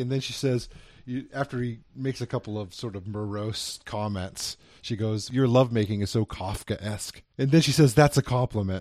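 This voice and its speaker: A man with an unremarkable speaking voice talks at medium pitch and a moderate pace. His loudness swings widely, in a very clean recording with a silent background. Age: 30s. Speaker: film review podcast host. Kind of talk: casual chat.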